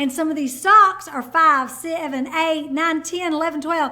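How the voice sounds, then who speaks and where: The voice is raised and projected, bright and sharp in tone, with ordinary pitch variation. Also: woman. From Kentucky. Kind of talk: casual explainer vlog. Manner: animated.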